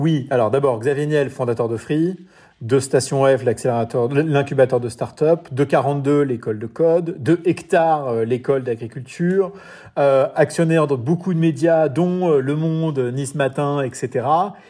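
A man talks at a fairly high pitch with a dark, mellow tone. The recording is very clean, with a silent background. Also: ordinary pitch variation, fairly slow pace. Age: 40s. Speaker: entrepreneur and amateur triathlete. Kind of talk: interview.

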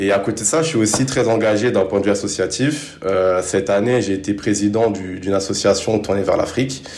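Recorded with noticeable background noise and audible room echo, a man speaks fairly quickly at a fairly low pitch, with ordinary pitch variation and very even loudness. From Paris suburbs, France. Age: 20s. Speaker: sprinter and business student. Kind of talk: interview.

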